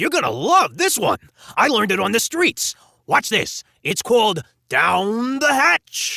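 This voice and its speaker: Extremely high pitch from a man doing a put-on character voice, delivered fairly slowly. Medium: read story. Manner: playful, laughing, enthusiastic.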